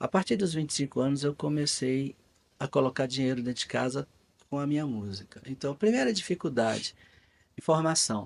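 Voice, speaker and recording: Speaking at a fairly quick pace, a man with an ordinary speaking voice uses fairly high pitch and ordinary pitch variation. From Brazil. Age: 60s. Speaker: musician. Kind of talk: interview.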